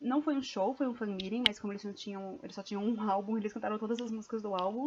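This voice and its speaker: A woman's fairly high-pitched voice. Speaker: vlogger. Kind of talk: casual vlog storytelling.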